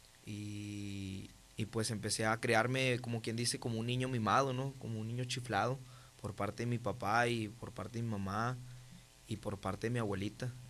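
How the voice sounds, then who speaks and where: Moderately paced, monotone speech from a man at medium pitch, in a very clean recording with a silent background. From Mexico, Monterrey (Nuevo León). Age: 20s. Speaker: testimony guest. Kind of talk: testimony. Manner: halting, many fillers.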